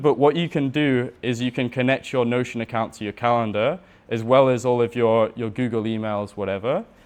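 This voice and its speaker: In an unremarkable speaking voice, a man talks at medium pitch with fairly even intonation. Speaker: systems and Notion consultant. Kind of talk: workshop talk with live demo. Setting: room with audience.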